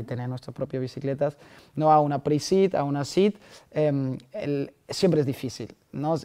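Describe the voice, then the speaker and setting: A man's fairly high voice with a non-native accent, a dark, mellow tone, ordinary pitch variation and a fairly slow pace. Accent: foreign accent in Spanish. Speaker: startup founder. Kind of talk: podcast interview answer. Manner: enthusiastic.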